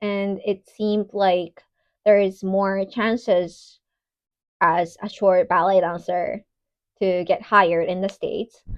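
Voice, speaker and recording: Speaking at a fairly slow pace with a Japanese accent, a woman uses a medium pitch. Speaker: ballet dancer. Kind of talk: personal vlog talk. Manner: casual with fillers.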